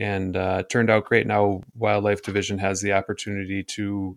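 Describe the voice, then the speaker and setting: A man's fairly low, monotone voice at a moderate pace in a very clean recording with a silent background. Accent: Upper Midwest. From northern Michigan (Gaylord). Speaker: forester. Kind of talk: interview. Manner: hesitant, many fillers.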